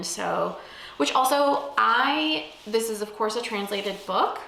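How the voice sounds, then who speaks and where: A woman is speaking over noticeable background noise. The room echo is audible. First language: Spanish. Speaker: book vlogger. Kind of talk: casual vlog talk.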